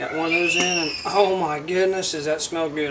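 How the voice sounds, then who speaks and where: A man with a high pitch and a Southern US accent speaks at a moderate pace. His pitch varies in an ordinary way, with loud background noise behind him. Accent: self-described southern. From Indiana, US Midwest. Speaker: homestead channel host cooking. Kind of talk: cooking tutorial. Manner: casual, folksy. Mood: relaxed, cheerful. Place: kitchen.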